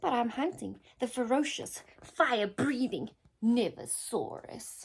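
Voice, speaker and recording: In a put-on character voice, a female-sounding speaker uses a high pitch at a fairly slow pace. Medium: read story. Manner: bold, blustery.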